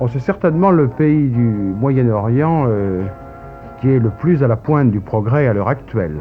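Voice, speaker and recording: Speech comes at a fairly slow pace with lively intonation. Loudness stays very even, and music plays in the background. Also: man, medium pitch for a man. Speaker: travel filmmaker narrating his footage. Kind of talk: TV interview answer, voice-over commentary.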